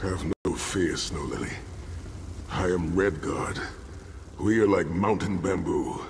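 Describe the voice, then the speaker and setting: A man does a put-on character voice with a very deep, low pitch at a fairly slow pace. He leaves long, frequent pauses, with clear background noise behind him. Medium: video game.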